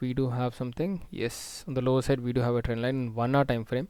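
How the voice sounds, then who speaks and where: A soft-spoken man at medium pitch and a fairly quick pace, on a very clean recording with a silent background. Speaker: stock market analyst. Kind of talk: market analysis tutorial.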